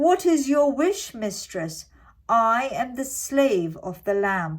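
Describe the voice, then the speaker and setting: A woman uses a put-on character voice, high in pitch with very wide pitch swings, at a very slow pace. The recording is very clean, with a silent background. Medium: read story. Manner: servile, formal.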